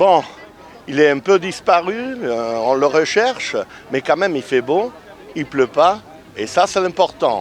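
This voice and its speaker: A man with an Italian accent speaks at a very slow pace with very wide pitch swings. Noticeable background noise runs underneath. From Italy. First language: Italian (speaking French). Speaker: street interviewer. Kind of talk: vox pop interviews. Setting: outdoors. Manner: animated.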